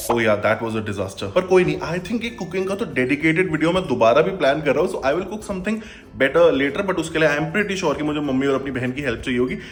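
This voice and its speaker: A man talks at a very fast pace with hardly any pauses, his fairly high voice making very wide pitch swings in an animated tone. Noticeable background noise and audible room echo fill the recording. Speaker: vlogger. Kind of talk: casual vlog talk to camera. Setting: at home at night, self-recorded.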